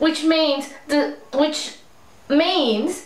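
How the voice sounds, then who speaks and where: A woman with an Australian accent, with audible echo from the room. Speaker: beauty vlogger. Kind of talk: angry rant, frustrated complaint to camera about store changes. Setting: home video blog, speaking to camera. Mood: frustrated, complaining. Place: home room. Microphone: webcam.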